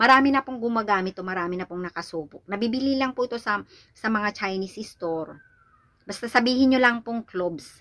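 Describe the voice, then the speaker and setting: At a fairly quick pace, a woman speaks in a bright, sharp tone with a fairly high pitch. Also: ordinary pitch variation. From Philippines. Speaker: vlogger. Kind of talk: product tutorial vlog; casual vlog chat. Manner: halting. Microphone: phone near.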